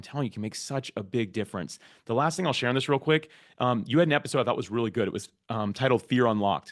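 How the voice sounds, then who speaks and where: Very fast speech from a man in a medium pitch with ordinary pitch variation over a quiet background. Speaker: podcast platform founder and podcaster. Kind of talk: interview conversation.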